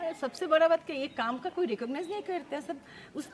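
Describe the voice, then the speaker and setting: A woman with a Bengali accent and lively intonation, against noticeable background noise. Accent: Bengali-accented Hindi. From Bengal, India. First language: Bengali (speaking Hindi). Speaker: social worker at a children's home. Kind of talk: interview.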